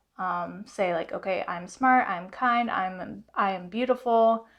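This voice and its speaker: Her pace is fairly slow. The woman's pitch varies in an ordinary way. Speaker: self-help vlogger. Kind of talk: motivational talk to camera. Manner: loud; animated.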